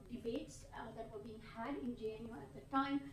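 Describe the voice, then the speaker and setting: Noticeable background noise and audible room echo surround the speaker. A woman talks at a moderate pace. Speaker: book author, historian. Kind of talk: book talk at panel discussion. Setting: conference room with audience.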